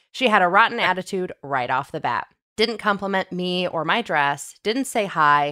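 A woman talks at a moderate pace with lively intonation and a bright, sharp tone. The recording is very clean, with a silent background. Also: medium pitch for a woman. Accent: American. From US Midwest. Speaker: podcast co-host. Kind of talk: casual chat.

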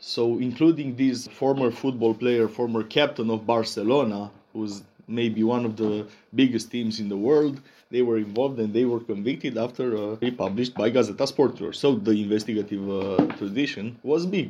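A man's dark, mellow voice with a Romanian accent, fairly even intonation and a moderate pace. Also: medium pitch for a man, quiet background. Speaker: investigative journalist. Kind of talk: interview.

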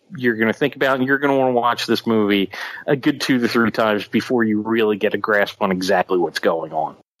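A man's very fast speech in a Philadelphia accent, at very even loudness and with ordinary pitch variation. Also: medium pitch for a man. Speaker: podcast co-host. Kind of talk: casual chat.

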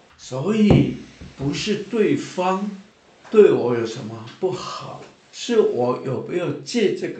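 Audible room echo surrounds the speaker. He is a man talking at a very slow pace. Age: 70s. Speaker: church minister. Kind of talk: testimony. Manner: animated.

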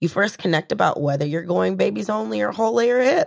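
With an American accent, a woman speaks at a fairly low pitch, using very wide pitch swings and vocal fry. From US South. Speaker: community organizer and actress. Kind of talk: casual interview chat.

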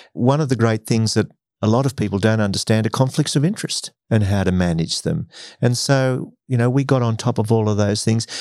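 A man speaks at a fairly quick pace with an Australian accent, his pitch medium and its variation ordinary. The background is quiet. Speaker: former broadcaster and executive. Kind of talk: interview conversation.

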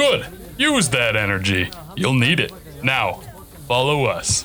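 Over clear music in the background, a man performs a put-on character voice at a fairly slow pace. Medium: audio drama. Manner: calm, brisk.

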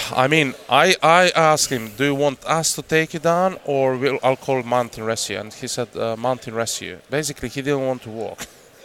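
At a moderate pace and hardly any pauses, a man with a Croatian accent talks at a medium pitch with ordinary pitch variation. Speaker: hunter. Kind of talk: casual chat.

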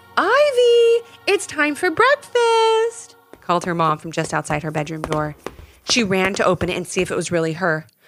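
Noticeable background noise sits behind a woman speaking at a moderate pace. Her tone is warm and gentle. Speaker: podcast storyteller. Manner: animated, storytelling tone with character voices; warm, gentle, directed at kids.

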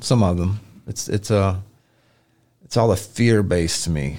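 A man talks in a fairly low pitch with a Memphis accent. His tone is dark and mellow, with ordinary pitch variation. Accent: Southern US (Memphis). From US South, Memphis area. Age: 40s. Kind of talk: casual chat.

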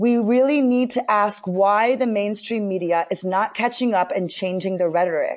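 A woman with a plain, everyday voice, medium pitch, ordinary pitch variation, very even loudness and a moderate pace. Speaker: spiritual teacher and trauma healer. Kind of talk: casual chat.

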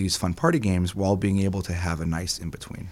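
Fairly low in pitch, a man talks with an American accent. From US West Coast, San Diego. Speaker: board game marketing manager. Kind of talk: interview conversation.

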